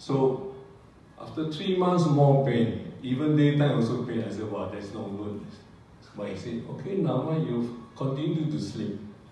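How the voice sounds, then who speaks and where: A man talks at a fairly slow pace with lively intonation. Strong room echo surrounds him, along with light background noise. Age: 70s. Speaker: retiree giving product testimonial. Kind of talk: testimony. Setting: stage with audience. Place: hall.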